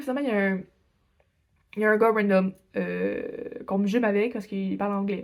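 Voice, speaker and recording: A woman with a Quebec accent speaks in a fairly high pitch and an animated tone. The recording is very clean, with a silent background. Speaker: exchange student vlogger. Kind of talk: casual vlog storytelling.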